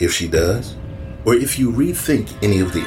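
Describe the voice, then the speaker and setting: With music in the background, a man speaks using lively intonation. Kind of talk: horror audio drama dialogue. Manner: gruff, folksy, probing.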